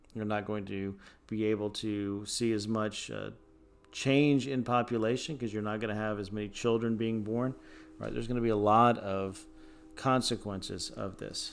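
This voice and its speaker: Fairly low in pitch, a man speaks at a moderate pace with fairly even intonation and audible room echo. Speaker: high school history teacher. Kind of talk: recorded lecture. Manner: many fillers (uh, um).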